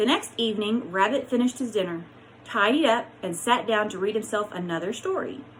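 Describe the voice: Ordinary pitch movement in plain reading aloud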